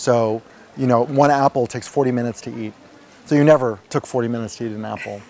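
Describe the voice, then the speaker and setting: Very fast and with big swings in loudness, a man with a New York accent keeps his intonation fairly even. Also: medium pitch for a man. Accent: New York American. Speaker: retreat participant. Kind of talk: testimony. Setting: interview at a retreat center.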